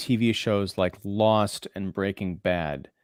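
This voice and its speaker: This is a man with an unremarkable speaking voice. His pitch is fairly low. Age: 40s. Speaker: film critic and podcaster. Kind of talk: casual chat.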